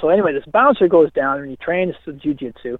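A man with an unremarkable speaking voice. His pitch sits fairly high, and his intonation is lively. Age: 50s. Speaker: fitness coach and author. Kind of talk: interview.

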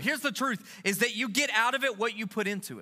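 In a raised, projected voice at extremely high pitch, a man speaks very fast with an animated, bright, sharp tone and ordinary pitch variation. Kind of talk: sermon in full flow, with call-and-response and a worship exhortation. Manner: loud, rallying, rhythmic, crowd-driving.

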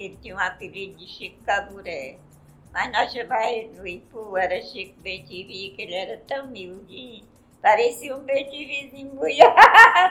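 Against noticeable background noise, a fairly high-pitched woman talks at a moderate pace with very wide pitch swings and big swings in loudness. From Ceará, Brazil (Ipu, interior). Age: 80s+. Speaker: master ceramist. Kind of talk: interview, casual chat.

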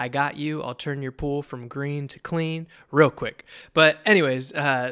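A man with an unremarkable speaking voice, fairly high pitch and fairly even intonation, on a very clean recording with a silent background. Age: 20s. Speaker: podcast host and father. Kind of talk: casual monologue.

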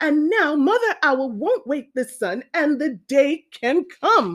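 A woman's put-on character voice, high-pitched and fairly bright in tone, with big pitch swings at a slow pace.

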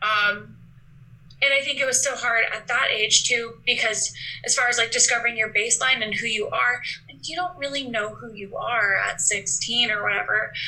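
A woman speaks at a moderate pace with fairly even intonation and a fairly high pitch. Noticeable background noise runs underneath. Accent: American. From Alaska, US. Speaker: guest sharing eating disorder recovery. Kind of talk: interview.

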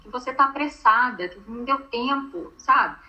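Noticeable background noise accompanies a woman speaking with ordinary pitch variation at a moderate pace. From Brazil, Minas Gerais. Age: 40s. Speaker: image consultant. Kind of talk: interview.

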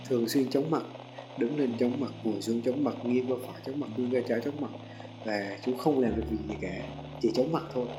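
Talking at a very fast pace, a man uses a medium pitch and ordinary pitch variation. Room echo is audible, and background noise is noticeable. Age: 20s. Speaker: podcaster. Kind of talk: unscripted personal monologue. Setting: seated at a microphone.

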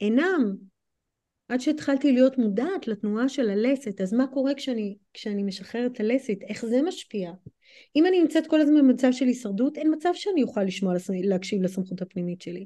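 Pitched high, a woman's voice carries a dark, mellow tone. She moves at a fairly quick pace with very wide pitch swings. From United States. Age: 40s. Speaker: movement coach and human design practitioner. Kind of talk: podcast interview.

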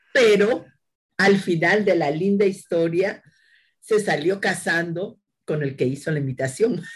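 A woman talks fairly slowly in a somewhat breathy voice, her pitch fairly low and its variation ordinary. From Peru, Lima (Barranco). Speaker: agricultural engineer and university lecturer. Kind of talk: interview.

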